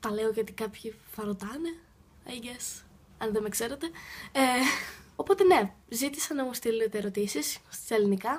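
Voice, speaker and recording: A somewhat breathy woman speaks at a fairly high pitch and a moderate pace, with lively intonation. Long pauses come often. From Greece. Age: young. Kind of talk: casual Q&A talk to camera.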